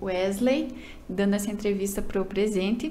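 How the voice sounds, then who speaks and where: Dark, mellow female speech, medium in pitch, at a moderate pace over light background noise. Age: young. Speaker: beauty pageant contestant. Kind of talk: casual interview. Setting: studio. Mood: polite, warm. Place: studio. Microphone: studio mic.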